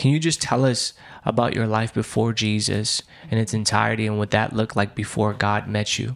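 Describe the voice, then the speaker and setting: A man speaks fairly quickly at a fairly low pitch. His is a plain, everyday voice with fairly even intonation. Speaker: interviewer. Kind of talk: interview.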